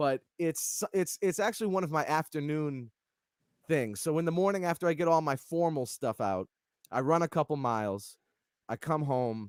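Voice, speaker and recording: In a New England accent, a man speaks at a moderate pace with very wide pitch swings, recorded with a dry, close sound, no echo, and a silent background on a very clean recording. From Massachusetts and New Hampshire (Lawrence, north of Boston). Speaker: keyboardist, music director. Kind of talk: casual interview chat.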